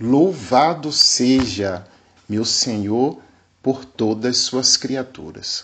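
At a very slow pace, a man speaks. His pitch is medium, with ordinary variation. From Bahia, Brazil (Recôncavo Baiano). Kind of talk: catechetical lecture. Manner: formal.

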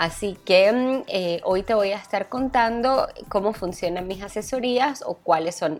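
Her medium pitch takes very wide swings as this woman speaks. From Venezuela. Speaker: wedding planner. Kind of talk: podcast monologue. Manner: hesitant with fillers.

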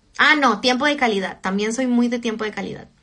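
A woman's high, bright, sharp voice with an animated tone and lively intonation, in a Chilean accent. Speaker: social media influencer. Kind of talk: casual livestream chat. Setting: livestream from home. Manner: talkative.

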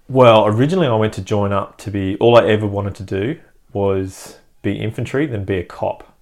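A man with an Australian accent talks at a fairly quick pace with ordinary pitch variation. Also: fairly low pitch for a man. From Perth, Western Australia. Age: 30s. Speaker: army veteran and medic turned business owner. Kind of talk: casual interview. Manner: halting, many fillers.

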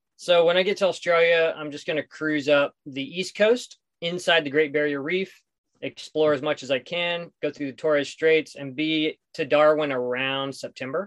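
The speaker has an American accent and fairly even intonation at a moderate pace. The sound is dry and close with no echo. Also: man, fairly high pitch for a man. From US Southwest, southeastern New Mexico. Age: 40s. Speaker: solo sailor. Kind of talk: casual interview.

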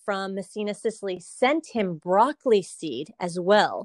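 A woman speaks with a Californian accent. The sound is dry and close with no echo, over a quiet background. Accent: Californian American English. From California, Salinas. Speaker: produce company marketing and communications. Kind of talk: interview.

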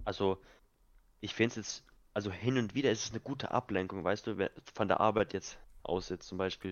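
A man speaks at a fairly low pitch with fairly even intonation. His pace is fairly quick, broken by long, frequent pauses. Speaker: podcast co-host, youth football coach. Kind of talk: casual chat.

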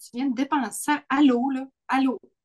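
A woman with a Quebec accent, high-pitched, very slow, with fairly even intonation and a dry, close sound with no echo. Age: 40s. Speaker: podcast co-host. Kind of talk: casual chat.

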